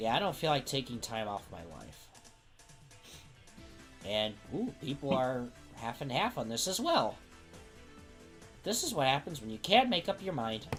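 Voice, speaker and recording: Over clear music in the background, a put-on character voice at a low-to-middle pitch moves at a moderate pace with long, frequent pauses. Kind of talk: casual game show banter.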